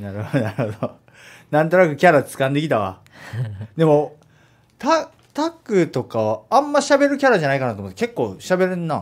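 Over a quiet background, a man talks at a fairly quick pace and fairly high pitch, with very wide pitch swings, big swings in loudness and long, frequent pauses. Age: 30s. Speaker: radio host; radio show host. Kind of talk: casual chat. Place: studio.

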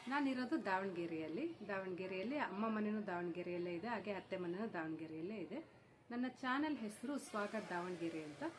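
Noticeable background noise fills the clip. Over it, the intonation sounds lively. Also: woman, medium pitch for a woman. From India, Karnataka (Davangere). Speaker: YouTuber. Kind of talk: vlog self-introduction.

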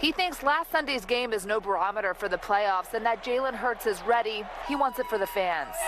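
Over noticeable background noise, a woman with a fairly high pitch talks at a fairly quick pace, keeping very even loudness while her pitch swings very widely. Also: hardly any pauses. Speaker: television reporter. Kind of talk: news report voiceover.

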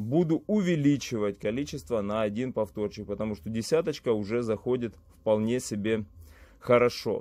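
A man talks at a moderate pace with ordinary pitch variation. His tone is dark and mellow. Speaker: fitness vlogger. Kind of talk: casual vlog chat. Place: gym.

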